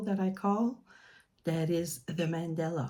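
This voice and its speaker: A woman speaks very slowly with a French accent, her pitch fairly low. Her tone is dark and mellow, with ordinary pitch variation. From New Brunswick, Canada (French-speaking). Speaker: mandala artist and children's author. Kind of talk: casual video introduction. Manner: halting, many fillers.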